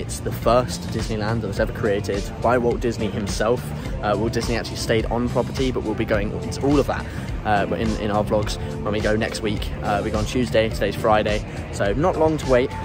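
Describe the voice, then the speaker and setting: With clear music playing behind him, a man talks at a fairly quick pace in a dry sound with no echo. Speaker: travel vlogger. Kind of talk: casual vlog chat. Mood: relaxed, upbeat. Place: street. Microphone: phone near.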